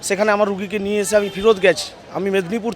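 A man talks in a high voice. Noticeable background noise is present. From Medinipur, West Bengal. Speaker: patient's relative. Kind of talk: street interview.

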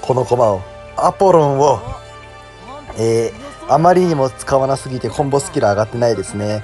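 Over music in the background, a man at medium pitch talks at a moderate pace with lively intonation and long, frequent pauses. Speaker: game streamer. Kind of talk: casual gameplay commentary. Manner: quiet, whispered.

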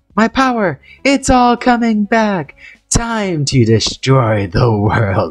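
A put-on character voice at a middle pitch moves along at a very slow pace. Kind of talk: comic overacting. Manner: boastful, hammy.

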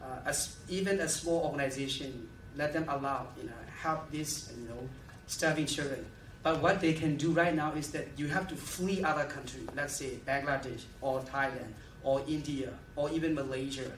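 Over light background noise and audible room echo, a man with a fairly high pitch talks at a moderate pace with fairly even intonation. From Myanmar. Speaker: activist and refugee-aid founder; conference presenter. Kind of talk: lecture with Q&A. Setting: stage with audience. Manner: halting. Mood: earnest, impassioned. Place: hall. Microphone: podium.

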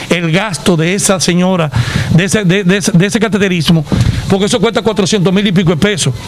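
The speech moves at a fairly quick pace. Background noise is noticeable throughout. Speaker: patient's relative. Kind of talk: interview answer. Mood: concerned, earnest. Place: street. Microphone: handheld.

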